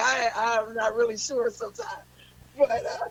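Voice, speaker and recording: A woman's pitch varies in an ordinary way, with noticeable noise in the background. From US Pacific Northwest, Seattle. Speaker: blues singer. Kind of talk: radio interview.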